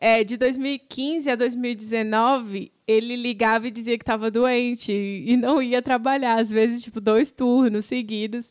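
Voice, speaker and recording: An unremarkable speaking voice moves at a fairly slow pace with fairly even intonation and hardly any pauses, on a very clean recording with a silent background. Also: woman, fairly high pitch for a woman. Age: 30s. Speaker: podcast host. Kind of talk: casual chat.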